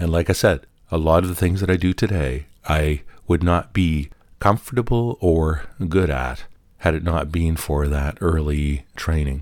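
His pitch is very deep and low. The man speaks at a moderate pace with ordinary pitch variation. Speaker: podcast host. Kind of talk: reflective solo monologue tribute. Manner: reflective, measured.

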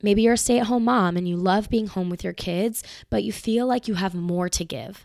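A woman with an American accent talks at a moderate pace and medium pitch, with ordinary pitch variation, in a very clean recording with a silent background. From US South, Marietta, Georgia. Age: 20s. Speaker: podcast host. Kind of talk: solo podcast monologue. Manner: casual, filler-heavy.

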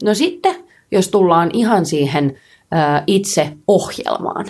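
A woman's voice at a medium pitch. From Finland, Helsinki. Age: 30s. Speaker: pole dance and street workout world champion, entrepreneur. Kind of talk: casual interview chat.

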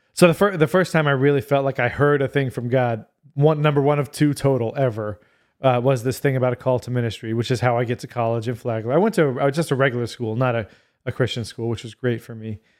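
On a very clean recording with a silent background, a man with an American accent speaks very fast at a medium pitch, with ordinary pitch variation. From US South, Florida Panhandle. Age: 40s. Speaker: pastor and adoptive father. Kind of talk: casual interview. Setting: studio recording in Niceville, Florida.

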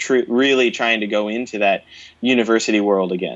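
At a moderate pace, a man speaks at a medium pitch with ordinary pitch variation, in an unremarkable speaking voice. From Philadelphia, US. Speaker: brass musician and music educator. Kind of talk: casual interview chat.

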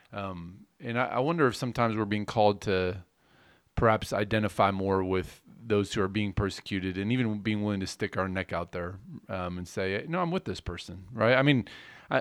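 In a very clean recording with a silent background, a man with an unremarkable speaking voice and a fairly low pitch talks at a fairly quick pace with ordinary pitch variation. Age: 40s. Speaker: pastor. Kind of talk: casual chat.

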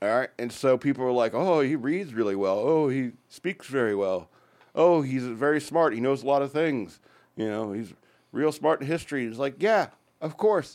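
Against a quiet background, a man speaks at medium pitch with lively intonation. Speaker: radio host. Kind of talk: casual banter on an irreverent radio show. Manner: fast talker.

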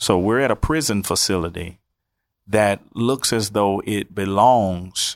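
Recorded very cleanly against a silent background, a man speaks at a fairly low pitch and a fairly slow pace, with ordinary pitch variation and a dry, close sound with no echo. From US South. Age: 30s. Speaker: pastor. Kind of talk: personal testimony.

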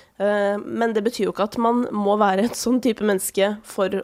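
An unremarkable speaking voice talks at a fairly quick pace with fairly even intonation. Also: woman. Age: 30s. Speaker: podcast host. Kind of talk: casual interview. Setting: studio.

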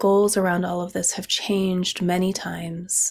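Heard on a very clean recording with a silent background, a woman with an American accent and an unremarkable speaking voice speaks at a fairly slow pace and fairly low pitch. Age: 40s. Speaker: podcast host, herbalist. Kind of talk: solo podcast monologue.

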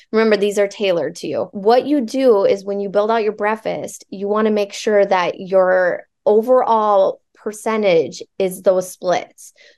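A woman with a Midwestern American accent speaks at a fairly slow pace. Her pitch is medium and her intonation fairly even. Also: hardly any pauses. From Nebraska (Alliance). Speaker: fitness coach. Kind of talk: casual interview chat.

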